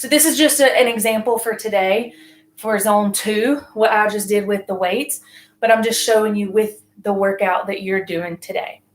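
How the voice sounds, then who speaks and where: A raspy, put-on character voice from a woman, fairly high in pitch, at a moderate pace. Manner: pausing between words.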